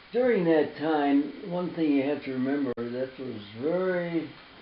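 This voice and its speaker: A man's very slow speech in an American accent, fairly high in pitch, with audible room echo and noticeable background noise. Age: 90s. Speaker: war veteran. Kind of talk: interview. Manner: halting.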